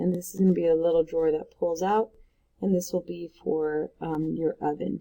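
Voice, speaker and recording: A woman talks in a plain, everyday voice, pitched fairly low, at a moderate pace. Her intonation stays fairly even. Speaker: art teacher. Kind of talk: tutorial.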